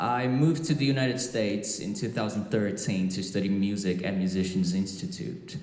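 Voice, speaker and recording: Over noticeable background noise and audible room echo, a man talks at a fairly quick pace with hardly any pauses, a fairly low pitch, and lively intonation. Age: 30s. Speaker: guitarist. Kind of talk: panel talk at a trade show. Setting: stage with audience.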